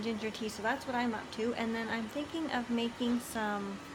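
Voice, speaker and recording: A soft-spoken woman talks at a moderate pace with a fairly high pitch. Audible room echo and noticeable background noise surround her voice. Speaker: lifestyle vlogger. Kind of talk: casual vlog chat. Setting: indoors at home.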